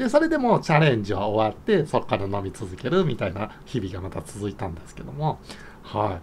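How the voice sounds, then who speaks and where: Pitch swings very widely at a moderate pace. Light background noise can be heard. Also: man. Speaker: YouTuber. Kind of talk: casual monologue. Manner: chatty. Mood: cheerful, laughing often. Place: home room. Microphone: phone near.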